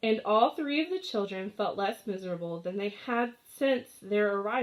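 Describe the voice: The recording is plain reading aloud.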